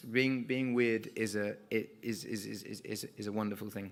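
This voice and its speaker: A man speaks with an English accent. His voice is fairly low, with a bright, sharp tone. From England. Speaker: singer-songwriter. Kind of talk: award acceptance speech. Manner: hesitant, halting with fillers.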